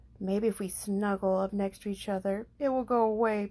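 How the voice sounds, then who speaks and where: This female-sounding voice is a put-on character voice at a medium pitch. It moves at a moderate pace. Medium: read story. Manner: gentle.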